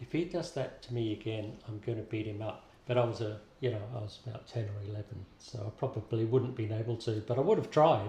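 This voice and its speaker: A somewhat breathy man with an Australian accent, medium pitch, dark, mellow tone, ordinary pitch variation and a fairly quick pace. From London, then Brisbane, Australia from age six. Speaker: interviewee, migrant. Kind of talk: interview.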